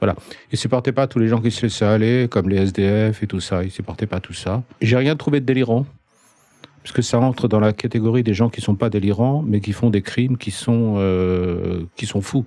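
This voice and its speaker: Noticeable background noise sits behind a man with a fairly low pitch. He keeps a moderate pace and ordinary pitch variation. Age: 60s. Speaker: psychiatrist. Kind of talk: casual interview.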